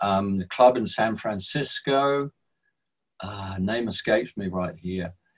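A man talks at a very slow pace, his loudness swinging widely. The background stays quiet. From England. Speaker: musician; interviewee. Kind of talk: storytelling. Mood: reflective, reminiscing. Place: home room. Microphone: webcam.

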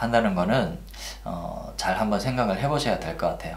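A man talks with lively intonation at a fairly low pitch. Room echo is audible around him. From Korea. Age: 40s. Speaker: Uber driver. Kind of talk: casual talk to camera. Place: home room.

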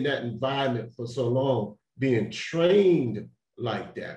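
With audible room echo but a quiet background, a somewhat breathy man talks at a fairly slow pace. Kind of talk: panel talk. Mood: earnest, serious. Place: home room. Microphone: video call.

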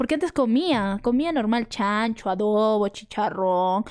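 A woman talks at a fairly slow pace against a quiet background. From Peru, Arequipa; Peru. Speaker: content creator. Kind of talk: casual chat. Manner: animated. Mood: relaxed, playful. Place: home room. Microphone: studio mic.

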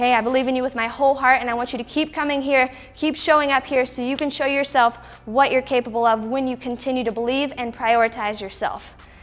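Backed by faint music, a woman speaks at a high pitch and a fairly quick pace. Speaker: fitness instructor. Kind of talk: workout video outro talk. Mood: warm, grateful, encouraging. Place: studio. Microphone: lapel.

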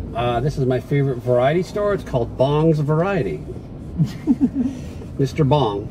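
With lively intonation, a man talks at a moderate pace amid noticeable background noise. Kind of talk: casual vlog chat. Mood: playful, joking. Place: car. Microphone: phone near.

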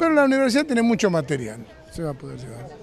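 Light background noise accompanies a man's voice, which sounds dry with no echo. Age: old. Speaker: retired professor and former TV director. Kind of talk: interview. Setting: inauguration event. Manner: halting, with repetitions. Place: open country.

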